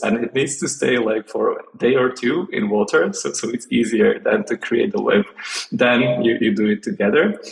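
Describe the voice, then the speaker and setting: Over noticeable background noise, a man talks at a moderate pace. He speaks with a Slovak accent. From Slovakia. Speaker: interview guest sharing home tradition. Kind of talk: casual interview. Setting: California. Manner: halting, many fillers and repeats.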